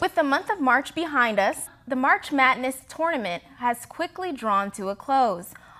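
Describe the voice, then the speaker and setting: Projecting a raised voice with a bright, sharp tone, a woman speaks at a high pitch and moderate pace, her pitch swinging very widely. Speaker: news anchor. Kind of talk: news anchor read.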